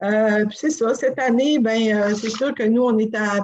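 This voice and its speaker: Her intonation fairly even, a woman speaks slowly-ish, at a fairly slow pace, with a fairly high pitch. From Quebec, Côte-Nord (Sacré-Cœur). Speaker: inn and restaurant co-owner. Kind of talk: interview. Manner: halting.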